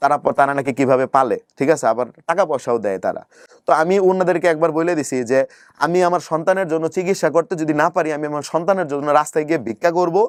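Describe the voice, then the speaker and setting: This man has a normal speaking voice, fairly high in pitch with ordinary pitch variation, in a dry, close sound with no echo. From Bangladesh, Sherpur district (rural) and Dhaka. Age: 20s. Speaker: YouTuber telling life story. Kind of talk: interview, personal life story.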